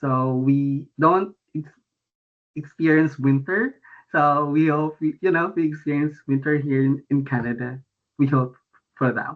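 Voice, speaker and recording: With a Filipino accent, a man speaks at a fairly slow pace. His pitch is fairly high and his intonation fairly even. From Philippines, Antipolo, Rizal province. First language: Tagalog. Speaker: international student. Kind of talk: presentation. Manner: halting.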